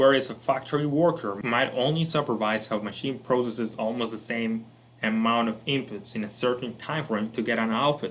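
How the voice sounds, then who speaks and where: A man's medium-pitched voice, fairly quick pace, fairly even intonation, audible room echo. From Colombia. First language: Spanish. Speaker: self-improvement educator. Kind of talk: lecture.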